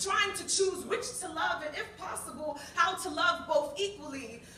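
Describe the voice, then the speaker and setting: A woman with an American accent speaks in a raised, projected voice at a fairly slow pace. Her pitch variation is ordinary, and noticeable noise runs in the background. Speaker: spoken word poet. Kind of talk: spoken word poetry performance. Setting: live open mic, cafe audience.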